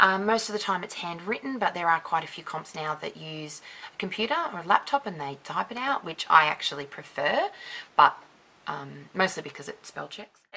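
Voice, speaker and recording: Over noticeable background noise, a soft-spoken woman with an Australian accent speaks at a moderate pace in a fairly low voice, her intonation lively and her loudness swinging widely. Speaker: dance judge and YouTuber. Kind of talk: casual chat to camera. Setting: dim room with one light, another person present.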